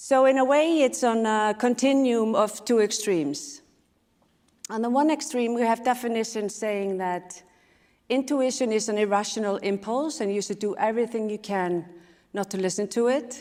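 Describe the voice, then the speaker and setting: A woman with an Icelandic accent, fairly high in pitch, at a moderate pace with ordinary pitch variation. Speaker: speaker and sustainability leader. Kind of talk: conference talk.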